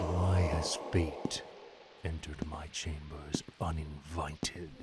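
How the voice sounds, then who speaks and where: Over loud background noise, a man uses a put-on character voice with a very deep, low pitch, moving at a fairly slow pace in monotone, flat intonation. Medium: machinima. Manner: arrogant, scheming.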